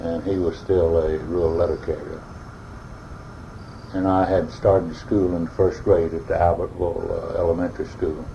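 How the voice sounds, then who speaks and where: There is noticeable background noise. A man with an Alabama accent talks at a moderate pace. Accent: Southern US (Alabama). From US South, northern Alabama. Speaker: oral history interviewee. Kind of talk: oral history interview. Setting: at his home. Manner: hesitant, many uh fillers.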